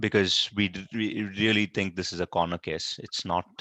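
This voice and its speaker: Against a quiet background, a man's bright, sharp voice comes through dry and close with no echo, his intonation monotone and flat. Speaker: open-source project meeting lead. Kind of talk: technical meeting discussion. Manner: fast.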